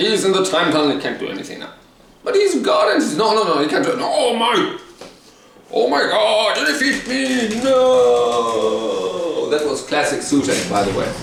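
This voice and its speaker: Amid audible room echo and noticeable background noise, a man speaks in an animated tone at a moderate pace. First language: German. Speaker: TV show reviewer, YouTuber. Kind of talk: rant.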